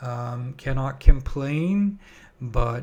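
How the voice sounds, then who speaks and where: This man's voice is somewhat breathy. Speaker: stock trader and trading-room host. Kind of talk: trading tutorial. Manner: casual with many fillers.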